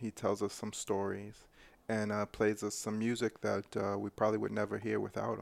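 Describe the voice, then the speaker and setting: A plain, everyday voice with an American accent speaks at a moderate pace. The recording is very clean and the background silent. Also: man. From New York. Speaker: radio host. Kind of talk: casual chat.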